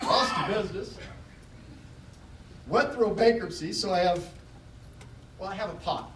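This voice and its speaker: Amid noticeable background noise, a man with a high voice talks at a moderate pace, with long, frequent pauses and ordinary pitch variation. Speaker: keynote speaker, motivational speaker. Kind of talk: keynote speech to a live audience. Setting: live convention hall. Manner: conversational, humorous, audience-engaging.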